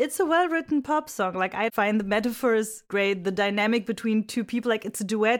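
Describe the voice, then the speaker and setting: Speaking at a fairly quick pace with hardly any pauses, a woman with a non-native accent uses a fairly high pitch and ordinary pitch variation. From Egypt / Europe. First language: not English. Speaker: singer-songwriter. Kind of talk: casual chat.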